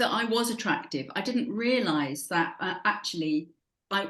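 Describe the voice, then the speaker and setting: Her voice fairly high and somewhat breathy, a woman speaks with very wide pitch swings. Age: 60s. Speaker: habit coach. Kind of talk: podcast interview.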